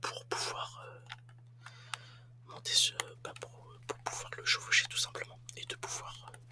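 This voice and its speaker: The voice is whispering at a very slow pace, with long, frequent pauses. Loudness swings widely throughout. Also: man. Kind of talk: ASMR gaming commentary. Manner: whispered; casual, hesitant.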